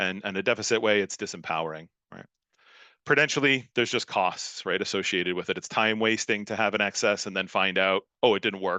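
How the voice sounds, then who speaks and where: A man speaks at a fairly low pitch, with ordinary pitch variation. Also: fairly quick pace. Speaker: academic speaker at a workshop. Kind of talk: conference talk. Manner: fast; hesitant, many fillers.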